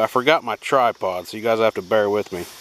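A man with an American accent speaks at a fairly quick pace with fairly even intonation. The sound is dry with no echo, with light background noise. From Kansas. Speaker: outdoors video creator. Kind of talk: casual vlog narration. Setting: outdoors. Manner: casual, hesitant. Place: open country. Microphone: phone near.

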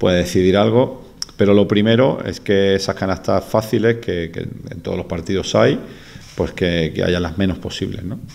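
A man speaks at a fairly slow pace. His voice is very deep and low, with a dark, mellow tone. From Andalusia, Spain. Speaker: basketball coach. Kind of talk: press conference answer. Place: meeting room. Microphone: podium.

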